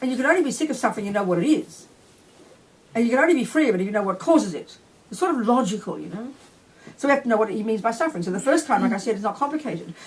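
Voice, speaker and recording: Animated and very fast, a woman talks in a fairly high voice with lively intonation. Noticeable background noise sits behind her. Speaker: Buddhist nun and teacher. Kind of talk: dharma teaching. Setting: retreat talk with audience.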